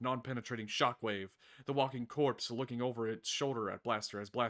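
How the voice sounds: In a natural reading voice, the speaker keeps a fairly even intonation.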